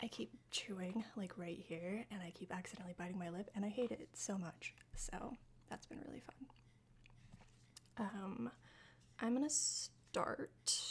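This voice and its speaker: A woman's medium-pitched voice with vocal fry and lively intonation, at a fairly slow pace with long, frequent pauses. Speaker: streamer and makeup vlogger. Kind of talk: casual chat. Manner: chatty, with frequent fillers.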